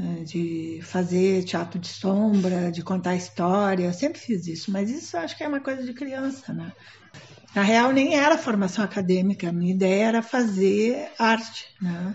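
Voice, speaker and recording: Behind a woman's voice there is noticeable background noise. She speaks at a medium pitch and moderate pace with lively intonation. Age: 70s. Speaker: theatre professor and director. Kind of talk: documentary interview. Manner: hesitant, with many fillers.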